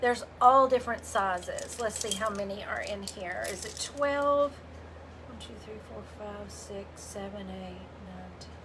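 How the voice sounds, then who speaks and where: A woman with a Southern US accent talks at a fairly slow pace with big swings in loudness, amid noticeable background noise and audible room echo. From US South, Memphis, Tennessee. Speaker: craft painter and livestream host. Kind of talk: casual livestream chat and craft demo. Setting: live video stream. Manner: animated.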